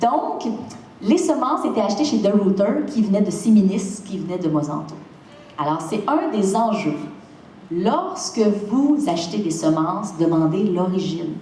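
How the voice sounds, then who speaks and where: In a Quebec accent, a woman at medium pitch speaks at a fairly slow pace with an animated tone and very wide pitch swings. There is noticeable background noise and audible room echo. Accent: Québécois French. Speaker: seed company founder. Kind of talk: lecture. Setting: stage with audience.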